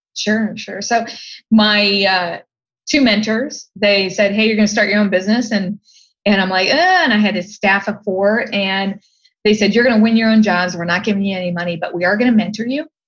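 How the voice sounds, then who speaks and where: With an American accent, a woman talks at a fairly quick pace in a medium pitch, her somewhat breathy voice keeping fairly even intonation. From Ohio, US. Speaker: design expert and entrepreneur. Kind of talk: podcast interview.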